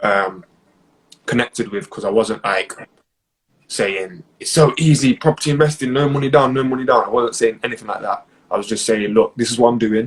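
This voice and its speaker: Fairly quick, medium-pitched male speech with ordinary pitch variation. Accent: East Midlands. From Nottingham, England. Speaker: property investor. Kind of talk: interview. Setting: live stream.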